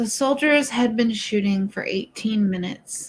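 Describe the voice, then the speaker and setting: A somewhat breathy woman's voice at a fairly high pitch, with ordinary pitch variation and a fairly slow pace. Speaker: true crime livestream host. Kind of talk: casual discussion livestream with reading aloud. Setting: livestream. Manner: stutters when agitated.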